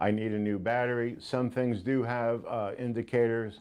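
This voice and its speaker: A man with an unremarkable speaking voice and fairly even intonation. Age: 60s. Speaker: ghost hunting equipment seller. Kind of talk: interview talk. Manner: casual, filler-heavy.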